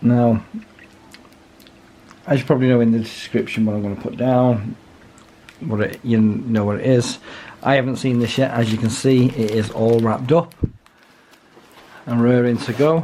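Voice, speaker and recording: With a British accent, a man at medium pitch speaks at a moderate pace, his intonation fairly even and his pauses long and frequent. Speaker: watch reviewer. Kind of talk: casual talk to camera.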